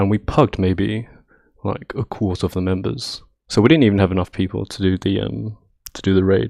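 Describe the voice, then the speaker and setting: Against a quiet background, a man with a British accent talks at a fairly quick pace, his very deep, low voice showing vocal fry and lively intonation. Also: dry, close sound with no echo. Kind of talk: casual rambling talk about gaming. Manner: nervous, hesitant.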